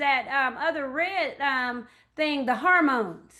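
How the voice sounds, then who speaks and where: A woman's raised, projected voice, high in pitch with a bright, sharp tone and ordinary pitch variation, over a quiet background. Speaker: early childhood educator and speaker. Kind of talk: lecture. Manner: halting, many fillers.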